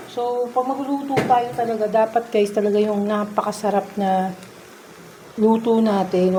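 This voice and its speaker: With noticeable background noise behind her, a woman talks at a fairly high pitch. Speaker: vlogger cooking at home. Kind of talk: casual cooking vlog. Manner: soft-spoken.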